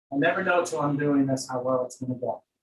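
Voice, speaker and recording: Somewhat breathy and fairly high-pitched, a man talks at a very fast pace. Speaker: yoga teacher. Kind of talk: guided yoga class. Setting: online class, room with windows open.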